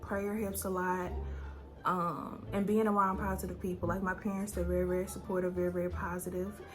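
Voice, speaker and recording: A woman talks with music playing behind her. Room echo is clearly audible. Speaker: beauty business owner and YouTuber. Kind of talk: casual Q&A vlog.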